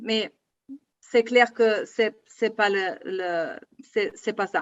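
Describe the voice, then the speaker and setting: A woman talks very slowly, her pitch shifting in a typical way. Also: fairly high pitch for a woman. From Germany. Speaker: politician, federal board member of a left party. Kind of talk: political panel debate. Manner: halting, hesitant.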